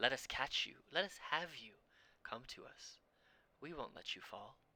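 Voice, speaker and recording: A man's put-on character voice, high in pitch and hissing, at a moderate pace. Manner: hissing, luring.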